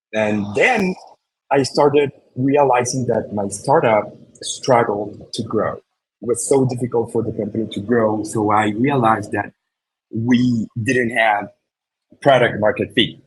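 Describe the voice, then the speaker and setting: The man is somewhat breathy and medium in pitch. His intonation is fairly even and his pace fairly slow. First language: Spanish. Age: 40s. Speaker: marketer and speaker. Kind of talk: presentation. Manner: halting with fillers and repetitions.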